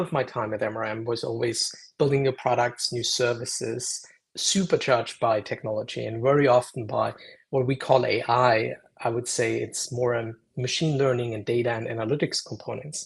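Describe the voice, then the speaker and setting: Over a quiet background, a man with a German accent speaks at a moderate pace in a somewhat breathy, medium-pitched voice with fairly even intonation. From Germany, Munich. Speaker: AI consultant and lecturer. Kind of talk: interview. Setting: live stream video call.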